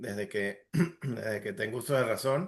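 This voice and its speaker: A man with an Andean Venezuelan accent at a fairly slow pace, over a quiet background. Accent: Andean Venezuelan (gocho). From Venezuelan Andes (Táchira/Mérida). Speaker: entrepreneur, industrial engineer. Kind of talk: casual interview.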